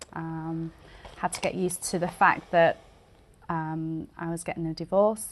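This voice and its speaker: Speaking with a British accent, a woman talks at a fairly slow pace in a fairly low pitch, her intonation flat and monotone, with long, frequent pauses. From England. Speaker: immigrant small business owner. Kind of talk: interview. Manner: halting, many fillers.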